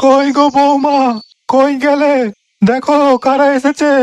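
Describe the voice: This cartoonish character voice is high-pitched and monotone, its flat intonation delivered at a fairly slow pace.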